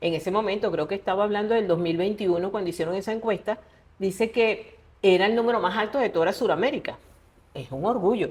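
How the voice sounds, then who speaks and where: This woman talks very quickly, with ordinary pitch variation. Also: medium pitch for a woman. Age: 60s. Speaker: writer. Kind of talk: interview conversation.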